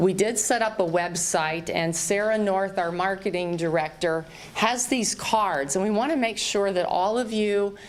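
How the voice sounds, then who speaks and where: A woman speaks with a slight Southern US accent at a medium pitch and a moderate pace, with ordinary pitch variation. Audible room echo and noticeable background noise are present. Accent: slight Southern twang at times. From US South, Southern Virginia. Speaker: real estate company representative. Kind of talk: public town hall address. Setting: town hall meeting with large audience. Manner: warm, informal with fillers.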